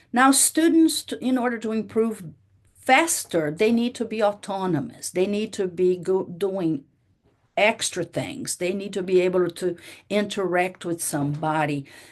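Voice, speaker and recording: In a Portuguese accent, a woman with a medium pitch and lively intonation speaks at a fairly slow pace against a quiet background. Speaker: university professor. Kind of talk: lecture.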